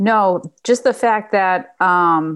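A woman with a Boston accent speaks with ordinary pitch variation. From New England, Boston area. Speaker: pest control company owner. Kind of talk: interview conversation.

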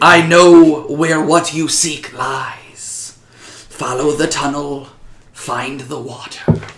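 In a put-on character voice, a man speaks at a very slow pace with a fairly high pitch.

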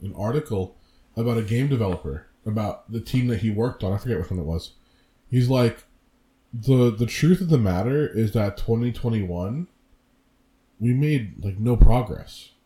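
Lively intonation marks this man's medium-pitched, somewhat breathy voice with its dark, mellow tone. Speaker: podcast co-host. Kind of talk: casual chat. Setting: home recording. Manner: animated.

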